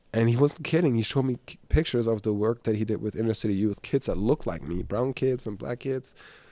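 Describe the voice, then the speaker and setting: A man's dark, mellow, medium-pitched voice at a moderate pace with ordinary pitch variation, on a very clean recording with a silent background. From Germany (Hamburg). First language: German. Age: 30s. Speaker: business coach and entrepreneur. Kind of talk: podcast interview, life story. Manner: animated.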